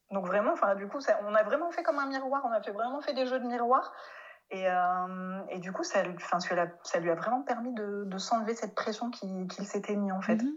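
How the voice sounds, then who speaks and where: A woman's fairly high voice at a moderate pace, with lively intonation. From France. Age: 30s. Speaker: speech therapist. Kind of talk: interview. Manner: hesitant, many fillers.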